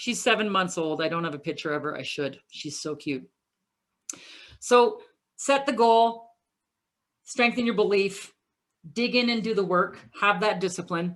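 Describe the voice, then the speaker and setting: Speaking with a Canadian accent, a woman uses lively intonation at a medium pitch, with long, frequent pauses. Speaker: keynote speaker. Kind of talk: motivational presentation. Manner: fast.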